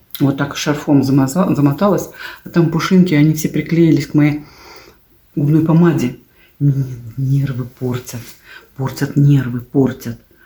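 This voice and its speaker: A woman's very deep, low, dark and mellow voice, somewhat breathy, fairly slow and fairly even in intonation, with long, frequent pauses. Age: 60s. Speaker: video blogger. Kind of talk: casual vlog monologue.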